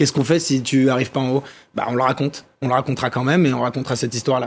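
A man's medium-pitched voice at a very fast pace. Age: 20s. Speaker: documentary filmmaker. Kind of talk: TV interview. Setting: TV studio.

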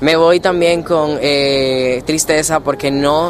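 Recorded with audible room echo and noticeable background noise, a man speaks with fairly even intonation. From Dominican Republic. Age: 20s. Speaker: law student and junior negotiator. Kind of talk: interview. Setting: conference venue.

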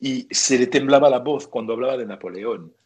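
Speaking at a fairly slow pace, a man with a French accent uses a medium pitch. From northern France. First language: French (speaking Spanish). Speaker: writer and sports journalist. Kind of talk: interview. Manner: hesitant, repeating words.

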